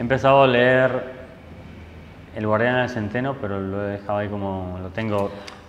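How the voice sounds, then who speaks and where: A man at a moderate pace with ordinary pitch variation, plus audible room echo and noticeable background noise. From Argentina, Buenos Aires. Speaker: photojournalist. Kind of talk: interview. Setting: photo club room.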